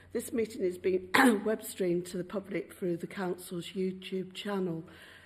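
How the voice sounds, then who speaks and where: A woman's medium-pitched voice, somewhat breathy, with a dark, mellow tone and fairly even intonation. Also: moderate pace. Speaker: mayor chairing council meeting. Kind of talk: formal meeting chairing. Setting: council chamber, microphones. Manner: formal.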